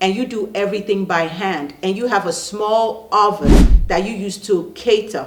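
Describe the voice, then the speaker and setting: Audible room echo hangs around this woman's speech. She keeps to a moderate pace. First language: not English. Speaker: online business coach and channel host. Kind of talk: casual talk to camera. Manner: animated.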